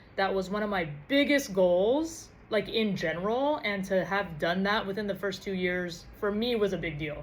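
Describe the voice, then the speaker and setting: In a room with audible echo, a woman with a medium-pitched voice speaks in an animated tone with lively intonation. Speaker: podcast host. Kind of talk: casual vlog monologue. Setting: recording to camera. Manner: fast.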